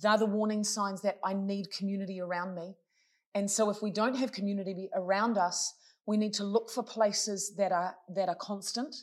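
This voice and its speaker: A woman at a medium pitch and moderate pace, with fairly even intonation, on a very clean recording with a silent background. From New Zealand. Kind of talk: casual interview.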